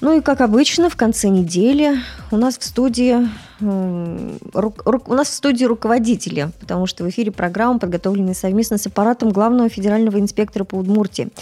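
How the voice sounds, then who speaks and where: A woman's fairly high voice at a fairly quick pace, ordinary pitch variation, music playing in the background. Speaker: radio journalist. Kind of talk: live radio interview. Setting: radio studio.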